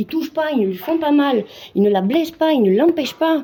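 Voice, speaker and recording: A woman's dark, mellow voice at a moderate pace with lively intonation. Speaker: amateur Muay Thai fighter. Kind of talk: casual vlog monologue.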